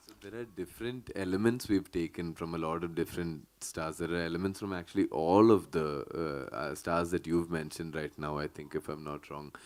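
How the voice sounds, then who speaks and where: A man's very deep, low voice, fairly quick, with ordinary pitch variation. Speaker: film actor. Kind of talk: press conference. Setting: press meet.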